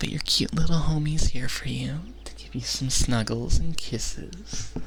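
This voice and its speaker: Over noticeable background noise, a soft-spoken man is talking. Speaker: ASMR content creator. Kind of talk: ASMR personal attention. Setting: binaural microphone, close to the mic.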